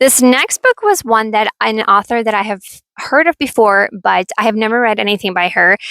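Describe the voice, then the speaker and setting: Bright and sharp in tone, a woman speaks at a fairly high pitch and a moderate pace with ordinary pitch variation. The sound is dry and close, without echo. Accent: Russian. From Ukraine. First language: Russian. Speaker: book vlogger. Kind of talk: casual chat. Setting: outdoors.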